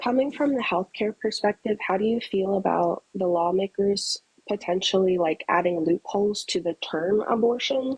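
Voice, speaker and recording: This soft-spoken woman talks at a moderate pace with very even loudness and ordinary pitch variation. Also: medium pitch for a woman, dry, close sound with no echo. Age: 20s. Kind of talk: debate.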